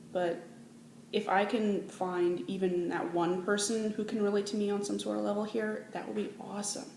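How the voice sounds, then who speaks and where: Amid noticeable background noise and audible room echo, a woman with a Manitoban accent speaks at a moderate pace with fairly even intonation. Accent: Canadian (Manitoba). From Canada, Manitoba. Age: 20s. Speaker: vlogger. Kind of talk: casual vlog.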